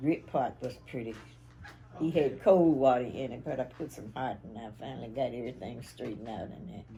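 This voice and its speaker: Dark and mellow in tone and somewhat breathy, a woman with a very deep, low pitch speaks at a moderate pace with ordinary pitch variation, big swings in loudness, and long, frequent pauses. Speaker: interviewee recalling family history. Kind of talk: interview answer.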